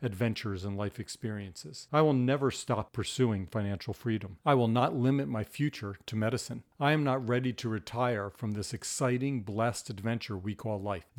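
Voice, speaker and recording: At medium pitch, a man talks with a normal speaking voice. His moderate pace carries ordinary pitch variation. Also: very clean recording, silent background. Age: 50s. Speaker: physician and surgeon. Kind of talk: scripted narration.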